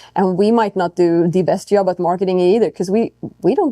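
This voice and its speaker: A woman with a non-native accent speaks at medium pitch in a dark, mellow tone. The sound is dry and close, with no echo. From Europe. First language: not English. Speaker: racing driver. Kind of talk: podcast interview. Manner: casual, with frequent fillers and restarts.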